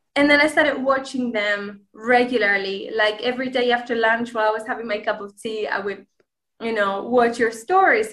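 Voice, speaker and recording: A woman with a Spanish accent and a fairly high pitch is heard in a very clean recording with a silent background. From Spain, Granada. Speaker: language learner and content creator. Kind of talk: interview.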